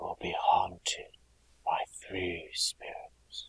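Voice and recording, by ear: A man whispering slowly in a put-on character voice, with vocal fry and a husky, rough edge.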